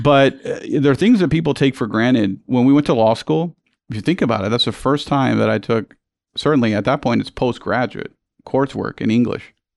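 Vocal fry at a fairly quick pace, over a quiet background. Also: man, medium pitch for a man, ordinary pitch variation. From Puerto Rico. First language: Spanish. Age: 40s. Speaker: bank executive and attorney. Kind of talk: casual interview conversation.

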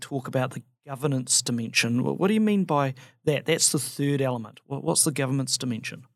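An ordinary speaking voice moves at a fairly quick pace on a very clean recording with a silent background. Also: man. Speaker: barrister podcast host. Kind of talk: interview conversation.

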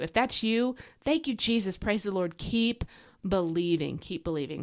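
A woman's medium-pitched voice, animated in tone, with lively intonation. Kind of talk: Bible teaching podcast monologue. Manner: fast.

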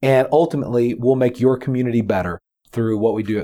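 A man with a Texan accent and a dark, mellow tone speaks at a very fast pace and a medium pitch. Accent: Texan American. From Texas. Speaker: founder of a character development program, former pastor. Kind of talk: interview. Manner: energetic, animated.

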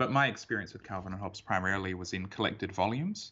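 Ordinary pitch variation from a man with an Australian accent. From Perth, Western Australia. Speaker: comics artist. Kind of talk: casual interview. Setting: remote call.

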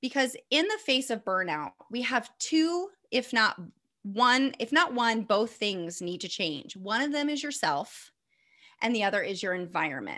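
A woman with a Midwestern American accent speaks fairly slowly in a bright, sharp tone, her fairly high pitch making very wide swings, on a very clean recording with a silent background. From US Midwest, northeast Indiana. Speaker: former teacher, burnout coach. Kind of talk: casual interview.

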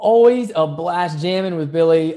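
A man's fairly high voice in an American accent, dark and mellow in tone, with ordinary pitch variation and a fairly slow pace. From West Virginia. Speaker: podcast host. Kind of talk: scripted narration; interview. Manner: animated.

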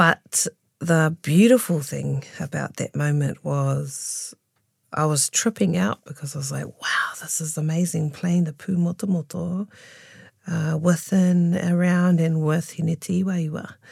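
Intonation stays fairly even in a somewhat breathy voice. Background is silent on a very clean recording. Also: woman, fairly low pitch for a woman, fairly slow pace. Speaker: taonga pūoro practitioner. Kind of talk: casual interview.

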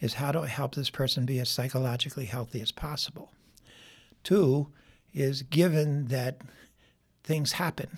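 On a very clean recording with a silent background, a man speaks at a fairly slow pace with a fairly high pitch, ordinary pitch variation, a somewhat breathy voice and long, frequent pauses. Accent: American. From US Northeast, Philadelphia. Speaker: psychologist and clinical supervisor. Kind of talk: interview.

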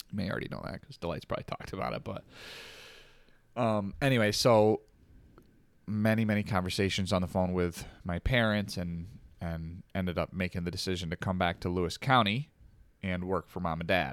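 The speaker moves at a fairly quick pace, with ordinary pitch variation but long, frequent pauses. The recording is very clean, with a silent background. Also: man, very deep, low pitch for a man. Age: 30s. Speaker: police department overnight worker. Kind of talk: casual chat.

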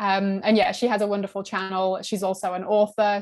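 Her intonation is monotone and flat as a woman speaks with a British accent. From UK. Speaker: horror book YouTuber. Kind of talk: casual interview.

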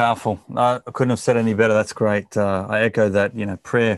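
In an Australian accent, a man talks in a fairly low pitch with monotone, flat intonation. The sound is dry and close with no echo, over a quiet background. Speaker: podcast host. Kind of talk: interview. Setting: video call.

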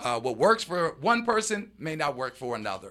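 Speaking with an American accent, a man with a bright, sharp tone and vocal fry swings very widely in pitch at a moderate pace. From US East Coast, Baltimore, Maryland. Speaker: restaurant owner and entertainer. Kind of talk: casual interview.

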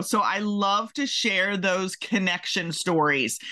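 A woman's bright, sharp tone at a fairly slow pace, with an American accent. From Maryland, US. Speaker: podcast host, career coach. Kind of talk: interview podcast; scripted intro. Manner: animated.

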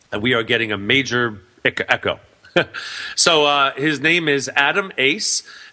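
Loud and bright with a sharp tone, a man speaks at a fairly high pitch and a fairly slow pace, with long, frequent pauses. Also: lively intonation. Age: 40s. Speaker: radio talk show host and business speaker. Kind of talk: casual interview. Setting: internet radio studio.

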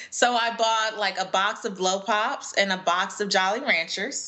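Woman with a fairly high voice, an American accent, and ordinary pitch variation amid noticeable background noise. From US West Coast, Los Angeles. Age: 30s. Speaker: personal finance educator and speaker. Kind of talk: interview. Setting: video call.

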